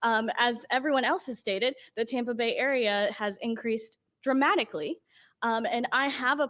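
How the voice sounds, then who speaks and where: A woman speaks in a high pitch at a moderate pace, with ordinary pitch variation. The sound is dry and close with no echo, on a very clean recording with a silent background. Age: 20s. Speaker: public commenter at city budget hearing. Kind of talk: public comment. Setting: council meeting.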